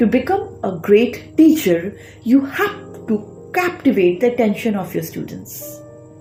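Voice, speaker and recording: A woman talks at a fairly unhurried pace. Background music plays along. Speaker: public speaking coach. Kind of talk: educational talk to camera.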